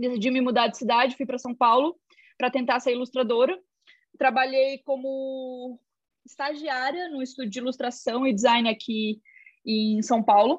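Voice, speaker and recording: Over a quiet background, a woman with a high pitch speaks at a moderate pace with fairly even intonation. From Joinville, Santa Catarina, Brazil. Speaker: illustrator and visual artist. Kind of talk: casual interview.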